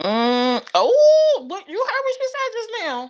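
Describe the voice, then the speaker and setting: Loud, very slow speech with very wide pitch swings. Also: woman. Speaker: live stream host. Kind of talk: casual chat.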